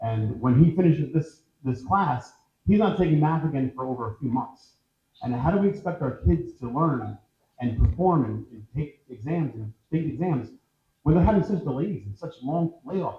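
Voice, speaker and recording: The voice is somewhat breathy, with an American accent and lively intonation. Its loudness swings widely. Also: man, fairly high pitch for a man. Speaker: political candidate. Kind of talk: candidate forum answer. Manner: fast when excited; animated.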